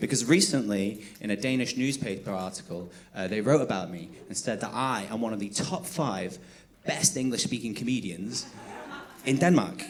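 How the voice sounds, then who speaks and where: Very wide pitch swings mark a man's medium-pitched voice at a moderate pace, with audible room echo. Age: 30s. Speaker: stand-up comedian. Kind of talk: stand-up. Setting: stage with audience.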